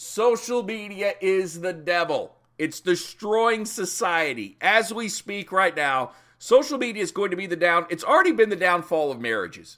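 A man's raised, projected voice, high-pitched, with a bright, sharp tone. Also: moderate pace. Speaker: podcast host. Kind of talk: sports talk podcast, casual opinion. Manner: mumbling, halting; casual, opinionated.

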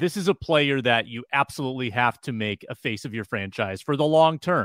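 A man talks at a moderate pace with a medium pitch and lively intonation. He has an unremarkable speaking voice. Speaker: sports podcast co-host. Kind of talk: casual sports talk.

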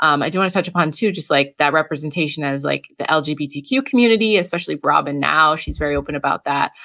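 A woman with a very deep, low pitch and ordinary pitch variation speaks at a very fast pace. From New England. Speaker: podcast host. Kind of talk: interview conversation.

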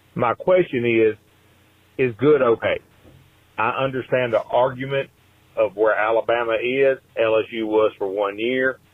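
A man with a Southern US accent at a medium pitch, fairly slow and fairly even, with long, frequent pauses. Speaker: caller. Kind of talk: voicemail.

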